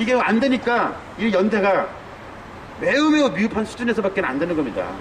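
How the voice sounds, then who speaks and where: A man with a high voice at a fairly quick pace, noticeable background noise and audible room echo. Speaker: university professor. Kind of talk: street lecture. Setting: outdoors at a protest sit-in site. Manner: fast; stutters at times.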